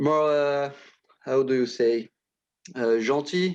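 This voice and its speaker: A man with a French accent and a fairly high pitch. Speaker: illustrator. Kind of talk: interview. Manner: halting, many hesitations.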